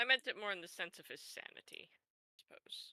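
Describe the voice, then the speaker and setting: Someone whispers in a put-on character voice at a fairly quick pace. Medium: actual play. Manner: dry, sarcastic.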